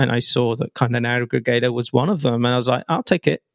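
A man with an English accent, heard in a dry, close sound with no echo. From England. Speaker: software developer and tech writer. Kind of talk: casual technical interview.

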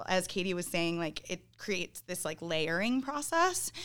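With a Midwestern US accent, a woman speaks at a moderate pace in a fairly low pitch and a bright, sharp tone. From Northern Illinois. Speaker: band singer and guitarist. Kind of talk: casual interview chat.

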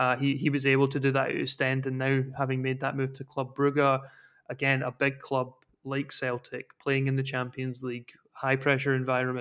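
Someone talks at a fairly quick pace with a Scottish accent. The intonation stays monotone and flat. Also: man. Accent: Scottish (Fife). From Scotland, Dunfermline. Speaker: football analyst. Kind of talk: casual chat.

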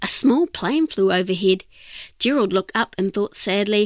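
The text is read aloud in a voice that sounds natural.

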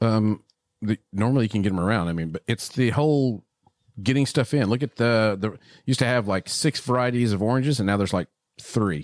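Someone talks with a Texan accent at a fairly quick pace and ordinary pitch variation, in a dry, close sound with no echo. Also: man, medium pitch for a man, very clean recording, silent background. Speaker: podcast host, cigar shop owner. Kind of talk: casual chat. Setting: studio.

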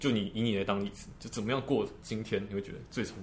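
Talking very fast with vocal fry, a man's fairly low voice carries audible room echo. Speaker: medical student. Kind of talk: casual chat.

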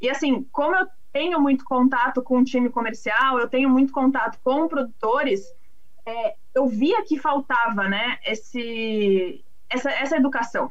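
At a fairly slow pace, a woman with a high pitch speaks with ordinary pitch variation. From Brazil, São Paulo city. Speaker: agricultural market analyst. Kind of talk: casual interview.

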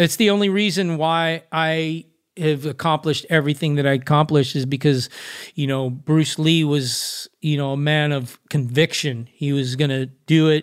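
Recorded very cleanly with a silent background, a man with a Southern California accent talks at a moderate pace in a fairly high pitch with fairly even intonation. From Los Angeles, California. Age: 50s. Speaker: professional skateboarder. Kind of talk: interview. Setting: podcast.

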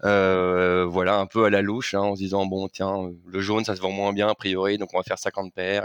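Over a quiet background, a man speaks at a moderate pace in a fairly low, monotone voice with flat intonation and a dry, close sound with no echo. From Paris, France. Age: 30s. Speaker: fashion brand co-founder. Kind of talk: interview. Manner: hesitant, many fillers.

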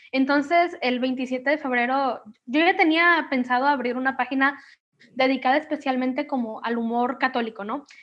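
Speaking at a moderate pace, the woman has a high pitch. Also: fairly even intonation. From Mexico, Manzanillo, Colima. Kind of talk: casual interview.

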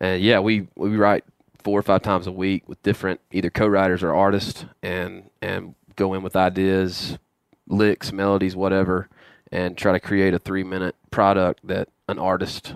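A man with a Southern US accent speaks at a fairly quick pace in a very deep, low voice, his delivery flat and monotone, recorded dry and close with no echo, very clean, against a silent background. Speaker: hunting show co-host. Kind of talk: casual chat. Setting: on a tour bus.

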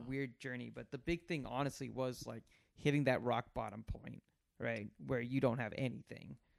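A man's normal speaking voice at medium pitch and a fairly quick pace. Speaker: esports marketer. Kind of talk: casual chat.

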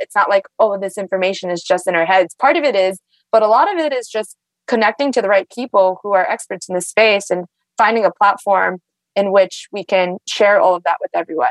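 Speaking very fast at a medium pitch with ordinary pitch variation, a woman is heard in a dry, close recording with no echo. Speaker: climate tech investor. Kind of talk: casual interview.

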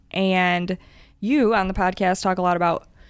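A woman speaks at a moderate pace with an American accent, her pitch medium. The recording is very clean, with a silent background. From Michigan. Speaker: therapist. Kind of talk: casual chat.

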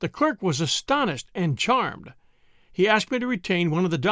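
The voice is a natural reading voice with lively intonation.

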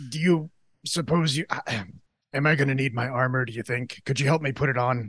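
The speaker performs a put-on character voice at a fairly quick pace. Long, frequent pauses break up the speech. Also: man, medium pitch for a man. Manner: earnest, well-meaning.

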